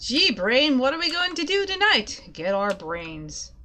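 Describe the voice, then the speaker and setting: A high-pitched put-on character voice from a woman, pitch swinging very widely. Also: fairly slow pace. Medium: game stream.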